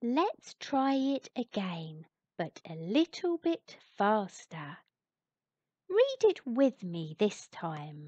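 The voice has a dark, mellow tone and moves through very wide pitch swings at a very slow pace. The sound is dry and close, with no echo. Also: woman, fairly high pitch for a woman. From England. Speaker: narrator. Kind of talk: children's alphabet read-along. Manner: slow, clear; friendly, fun.

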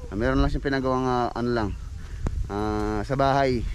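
Noticeable background noise sits behind a man's voice. He talks at a fairly quick pace in a dry sound with no echo. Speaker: construction vlogger. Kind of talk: casual vlog chat. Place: open country. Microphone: phone near.

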